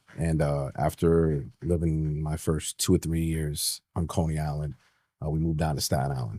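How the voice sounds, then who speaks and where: A man with a New York accent, very deep, low pitch, a dark, mellow tone and fairly even intonation. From New York City (Manhattan, Brooklyn). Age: 40s. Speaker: retired police detective. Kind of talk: interview conversation.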